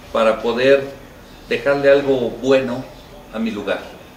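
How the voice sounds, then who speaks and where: Through audible room echo and light background noise, a man speaks fairly slowly at a fairly high pitch, with long, frequent pauses. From Mexico, Cholula (Puebla); Puebla, Mexico. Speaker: marching band association leader, teacher; teacher. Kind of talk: interview. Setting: restaurant. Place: cafe.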